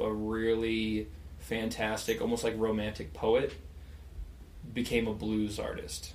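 A man with an American accent, at a fairly slow pace, with audible room echo. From rural Western Colorado. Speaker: touring guitarist and songwriter. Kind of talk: casual chat.

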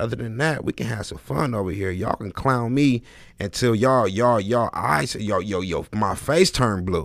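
Animated in tone and lively in intonation, a man talks at a moderate pace and medium pitch with vocal fry, on a very clean recording with a silent background. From Los Angeles. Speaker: podcast host. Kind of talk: live-streamed casual chat.

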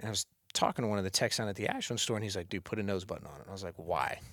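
This very clean recording has a silent background. On it, a man talks with an American accent. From northeast Ohio. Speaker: bow technician. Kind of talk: casual chat. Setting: office.

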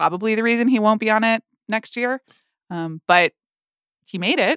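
A bright, sharp tone with ordinary pitch variation sounds dry and close with no echo in a very clean recording with a silent background. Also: woman. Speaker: film podcast host. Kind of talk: casual chat.

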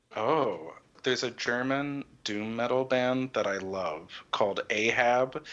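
With an American accent, a man uses an ordinary speaking voice and ordinary pitch variation. He speaks at a fairly slow pace over a quiet background. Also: medium pitch for a man. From Texas and Connecticut. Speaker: composer. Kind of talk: casual interview.

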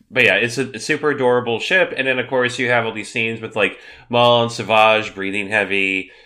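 With fairly even intonation, the passage is read aloud in a natural voice.

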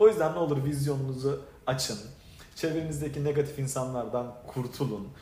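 A man speaks at a fairly high pitch. Noticeable background noise and audible room echo surround him. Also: ordinary pitch variation, moderate pace. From Turkey, Adana. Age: 40s. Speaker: direct sales leader. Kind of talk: motivational talk.

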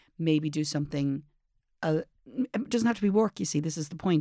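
A woman with an Irish accent and a very deep, low pitch, ordinary pitch variation, on a very clean recording with a silent background. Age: 50s. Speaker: advice podcast co-host. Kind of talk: casual chat. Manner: calm, measured.

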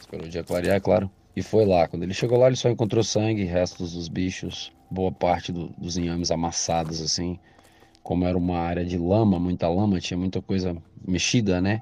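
Music plays behind a man with a very deep, low voice and an Espírito Santo accent. He talks at a fairly quick pace with fairly even intonation. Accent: Brazilian Portuguese, Espírito Santo. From Brazil, Espírito Santo (Vitória). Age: 40s. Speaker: listener sharing a story. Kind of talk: recorded personal story.

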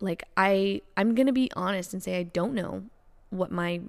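A woman with an ordinary speaking voice and a fairly low pitch is heard in a very clean recording with a silent background. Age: 20s. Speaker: podcast host. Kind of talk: casual chat.

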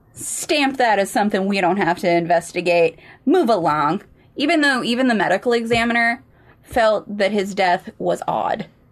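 With an American accent, a woman speaks in an unremarkable speaking voice at a moderate pace, her intonation lively and her loudness very even. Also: medium pitch for a woman. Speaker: podcast co-host. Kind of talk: casual chat and true crime storytelling.

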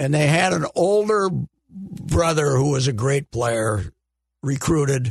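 A somewhat breathy man at a very slow pace with lively intonation, in a dry, close sound with no echo. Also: fairly high pitch for a man. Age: 70s. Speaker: sports columnist. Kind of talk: casual chat. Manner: animated.

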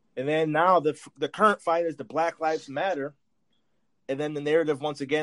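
An ordinary speaking voice from a man, fairly high in pitch, at a fairly quick pace with fairly even intonation and a dry, close sound with no echo. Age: 30s. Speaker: sports podcast host. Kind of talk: casual chat.

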